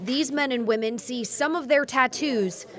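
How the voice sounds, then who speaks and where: Woman at a moderate pace with lively intonation, over noticeable background noise. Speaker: TV news reporter. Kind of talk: TV news report.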